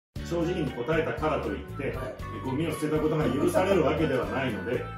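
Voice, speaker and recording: Very fast speech with audible room echo and clear music in the background. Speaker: comedian. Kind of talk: comedy dialect lesson show. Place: home room. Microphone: camera far.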